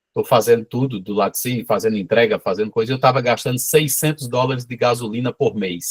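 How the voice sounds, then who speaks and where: A somewhat breathy man's voice at medium pitch, fairly quick, with a dry, close sound and no echo. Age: 50s. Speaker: small cheese producer. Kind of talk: casual chat. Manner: animated.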